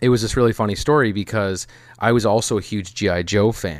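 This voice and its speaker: This man has a fairly low pitch and an American accent. He keeps a moderate pace with ordinary pitch variation. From US Midwest. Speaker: documentary producer. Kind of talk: casual interview chat.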